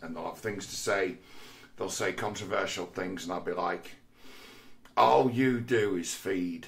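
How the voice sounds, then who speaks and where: With an English accent, a man speaks at a fairly slow pace. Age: 40s. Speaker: vlogger. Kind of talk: monologue. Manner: halting.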